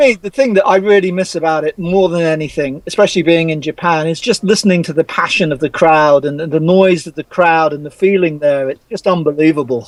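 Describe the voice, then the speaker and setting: Dry and close with no echo, a man's high-pitched voice runs at a fairly quick pace with hardly any pauses and ordinary pitch variation. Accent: English. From England. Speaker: rugby journalist. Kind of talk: casual chat.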